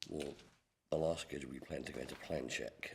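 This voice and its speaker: A man talks at a moderate pace with an English accent. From England. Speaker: construction manager. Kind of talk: public meeting testimony. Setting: committee meeting.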